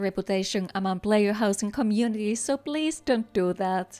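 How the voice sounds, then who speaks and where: Someone with a non-native accent talks at a moderate pace and ordinary pitch variation. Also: woman. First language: not English. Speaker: gaming content creator. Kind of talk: scripted narration. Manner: careful articulation.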